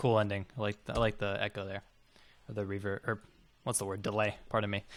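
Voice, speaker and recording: On a very clean recording with a silent background, a man talks very fast at a fairly low pitch in a monotone, flat intonation. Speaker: music producer streamer reviewing tracks. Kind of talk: live stream track review.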